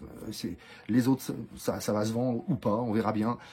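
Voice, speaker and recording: Somewhat breathy, the voice carries a dark, mellow tone. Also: man. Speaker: wildlife photographer and author. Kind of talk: casual video message to followers. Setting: outdoors in the cold. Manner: fast; hesitant, many fillers.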